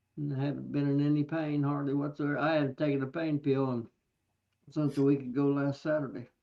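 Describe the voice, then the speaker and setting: The delivery is very fast and stays monotone, with flat intonation throughout. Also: man, fairly high pitch for a man. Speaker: beekeeper. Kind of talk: casual chat. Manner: soft-spoken. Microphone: too quiet.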